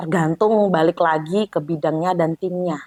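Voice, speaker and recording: In a relaxed tone, a woman speaks at a fairly low pitch, with dry, close sound, no echo, and a very clean recording with a silent background. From Java, Indonesia. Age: young. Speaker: agency CEO and founder. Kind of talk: casual interview chat. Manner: relaxed, easy-going.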